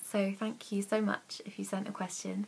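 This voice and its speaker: A woman's somewhat breathy voice at medium pitch and a moderate pace. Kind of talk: casual Q&A talk to camera. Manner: hesitant, lots of ums and stutters.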